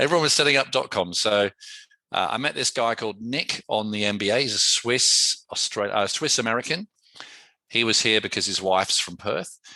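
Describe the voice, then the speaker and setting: With an English accent, a man speaks at a medium pitch in a bright, sharp tone, his pitch shifting an ordinary amount. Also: fairly quick pace. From England. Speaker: entrepreneur. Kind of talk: interview. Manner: casual, conversational.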